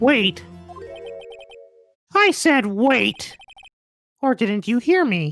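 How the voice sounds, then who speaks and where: A female-sounding put-on character voice, fairly high in pitch, moves at a very slow pace with long, frequent pauses over faint music in the background. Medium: game stream. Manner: smug, condescending.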